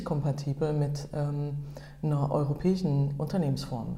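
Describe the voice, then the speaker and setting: A woman speaks with a very deep, low pitch and a somewhat breathy sound. Audible room echo hangs around her voice. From Germany. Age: 40s. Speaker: photographer and entrepreneur. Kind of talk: interview. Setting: meeting room. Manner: halting.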